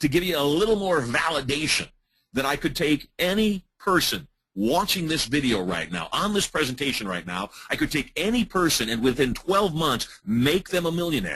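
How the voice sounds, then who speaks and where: A man's fairly high, bright and sharp voice with vocal fry swings very widely in pitch at a moderate pace. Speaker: hypnotist and business trainer. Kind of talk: webinar presentation.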